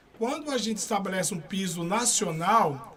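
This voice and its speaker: Noticeable background noise surrounds a high-pitched man whose intonation is lively. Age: 50s. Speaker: security guard and union activist. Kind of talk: interview. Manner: halting, frequent restarts.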